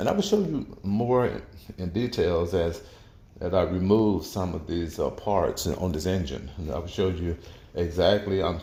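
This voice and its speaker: A man's very deep, low voice with a dark, mellow tone, somewhat breathy, at a moderate pace with ordinary pitch variation, in audible room echo. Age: 60s. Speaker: auto mechanic. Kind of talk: tutorial. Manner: halting, many repetitions and fillers.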